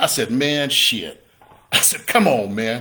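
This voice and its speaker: A fairly high-pitched man with a bright, sharp tone, at a fairly slow pace. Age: 60s. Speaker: real estate investor and coach. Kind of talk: motivational talk. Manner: animated.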